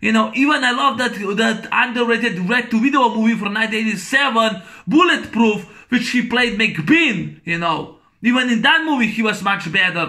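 A man's raised, projected voice, high in pitch, at a moderate pace with ordinary pitch variation over a quiet background. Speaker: movie reviewer vlogger. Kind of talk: angry rant, movie review. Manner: loud, exasperated, foul-mouthed; repetitive, rambling, blunt insults. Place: home room. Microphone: webcam.

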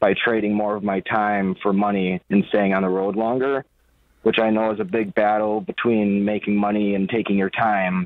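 An ordinary speaking voice: a man with fairly low pitch and fairly even intonation talks at a moderate pace, the sound dry with no echo and the background quiet. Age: 20s. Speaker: truck driver, caller; caller. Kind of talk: phone-in question. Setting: phone call. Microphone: phone line.

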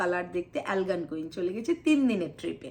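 A woman is talking. Her pitch rises and falls over a very wide range. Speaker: vlogger. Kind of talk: personal vlog monologue.

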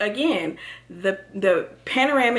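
With an American accent, a woman speaks. Her pace is fairly slow. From Texas. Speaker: lifestyle vlogger. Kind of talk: casual vlog monologue. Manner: rambling, filler-heavy. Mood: warm, reflective. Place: home room. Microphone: phone near.

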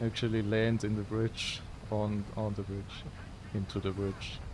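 A man speaks with a Swiss German accent at a fairly slow pace, his voice somewhat breathy. His intonation is monotone and flat, with noticeable background noise. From Switzerland. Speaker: video game streamer. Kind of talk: live gameplay commentary. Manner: casual, chatty with viewers. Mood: playful, teasing. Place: home room. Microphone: headset.

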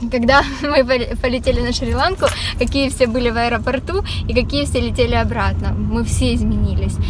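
A woman talks at a fairly quick pace, her voice dry with no echo against noticeable background noise. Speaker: vlogger. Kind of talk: casual vlog chat. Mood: cheerful, relaxed. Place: car. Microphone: phone near.

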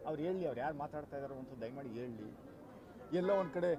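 Over noticeable background noise, a man talks with lively intonation in a dry sound with no echo. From Karnataka, Bengaluru Rural; Karnataka. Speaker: election candidate. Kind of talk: press statement. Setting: in front of media. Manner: emphatic. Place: street. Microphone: handheld.

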